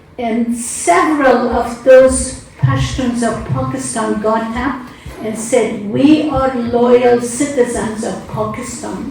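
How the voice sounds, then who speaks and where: Against noticeable background noise and audible room echo, a woman with an Afghan accent talks at a very slow pace in a high pitch with ordinary pitch variation. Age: 70s. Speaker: conference panelist. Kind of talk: panel discussion. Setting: conference hall.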